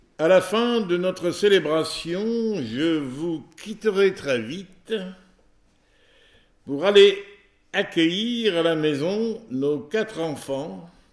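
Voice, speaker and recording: Speaking at a very slow pace with long, frequent pauses, a man talks at a high pitch. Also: lively intonation. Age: 80s+. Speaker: preacher. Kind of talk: sermon.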